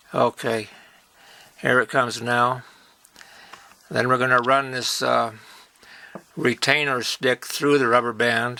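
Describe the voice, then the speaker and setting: Medium-pitched male voice, monotone and flat, at a fairly slow pace with long, frequent pauses and noticeable background noise. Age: 70s. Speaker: toy-making hobbyist. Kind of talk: tutorial. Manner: halting, with many fillers; casual.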